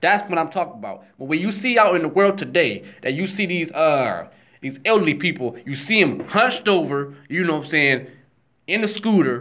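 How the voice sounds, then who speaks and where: The speech moves at a moderate pace with lively intonation. The tone is bright and sharp. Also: man, high pitch for a man. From Cleveland, Ohio, US. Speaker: vlogger. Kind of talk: casual monologue.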